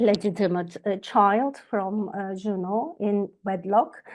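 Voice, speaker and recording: A woman talks with a Turkish accent. Her pace is very slow. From Turkey. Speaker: astrologer. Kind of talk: lecture. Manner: halting, many fillers.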